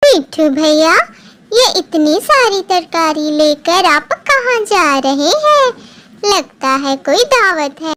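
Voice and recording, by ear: In a cartoonish character voice, a woman speaks at a very slow pace, squeaky and extremely high-pitched, with very wide pitch swings.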